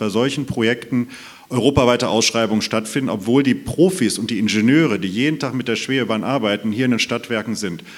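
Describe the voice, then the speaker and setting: A man talks at a very fast pace. His voice sits at medium pitch. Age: 30s. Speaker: mayoral candidate, state parliament member. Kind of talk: panel debate. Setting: stage with live stream.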